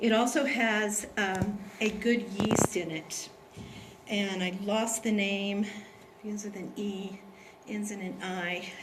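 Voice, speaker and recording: A woman at a very slow pace, with fairly even intonation, big swings in loudness, audible room echo and noticeable background noise. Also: medium pitch for a woman. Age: 60s. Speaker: product distributor presenter. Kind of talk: sales presentation.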